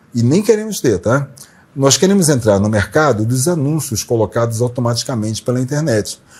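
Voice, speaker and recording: Using a dark, mellow tone and lively intonation, a man speaks somewhat breathily at a medium pitch and a moderate pace. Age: 60s. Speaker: journalist, interview show host. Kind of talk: channel promo appeal to viewers; casual interview talk.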